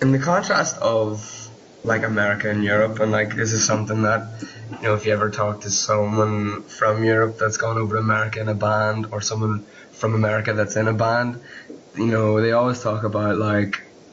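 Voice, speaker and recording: A man speaks with an Irish accent at a fairly low pitch and a fairly quick pace, his intonation monotone and flat. Audible room echo and noticeable background noise surround him. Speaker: podcast host. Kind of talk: interview.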